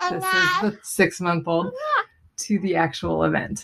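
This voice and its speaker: In an ordinary speaking voice, a woman delivers her words at a moderate pace and a medium pitch. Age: 30s. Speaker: stay-at-home mother. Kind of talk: voicemail question.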